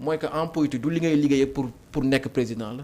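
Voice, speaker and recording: A man's pitch varies in an ordinary way. He talks fairly quickly. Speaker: politician. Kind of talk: political interview.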